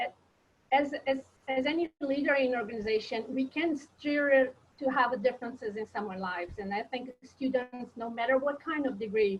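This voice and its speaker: In a Portuguese accent, a woman speaks at a moderate pace and a high pitch with ordinary pitch variation. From Brazil. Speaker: professor. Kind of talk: webinar panel discussion.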